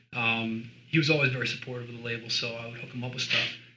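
Talking at a very fast pace in a monotone, flat delivery, a man is heard over noticeable background noise. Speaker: record label owner. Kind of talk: interview. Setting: label office.

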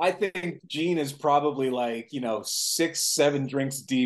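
A man's fairly high voice at a fairly slow pace, a normal speaking voice with ordinary pitch variation. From US Pacific Northwest (Seattle), born in Mexico City. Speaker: film director. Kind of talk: casual chat.

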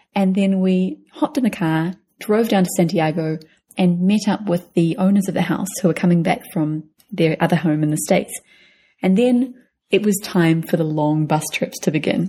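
Her somewhat breathy, dark and mellow voice sits at medium pitch, keeps a very even loudness, and carries a New Zealand accent. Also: ordinary pitch variation, moderate pace. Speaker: travel podcast co-host. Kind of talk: casual chat.

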